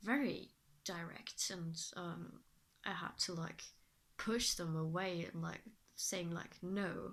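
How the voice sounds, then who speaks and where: A woman speaks very slowly, her pitch rising and falling in an ordinary way. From Germany. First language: German. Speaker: vlogger. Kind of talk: casual vlog monologue. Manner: halting, many fillers.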